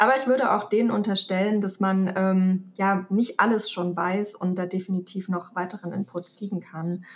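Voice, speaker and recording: A woman talks with hardly any pauses and fairly even intonation while noticeable background noise runs underneath. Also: medium pitch for a woman, moderate pace. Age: 30s. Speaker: photography student and headhunter. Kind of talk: casual interview. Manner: hesitant, many fillers.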